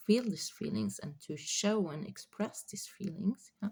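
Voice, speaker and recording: A woman speaks in a somewhat breathy voice. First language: not English. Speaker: spiritual channeler. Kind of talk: spiritual reading monologue. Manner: halting, many fillers.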